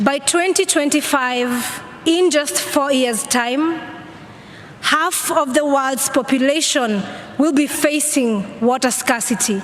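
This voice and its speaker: A woman's high-pitched voice at a very slow pace, with ordinary pitch variation, very even loudness, and noticeable background noise. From Kenya. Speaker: climate activist. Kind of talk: speech at a conference. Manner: earnest, pleading.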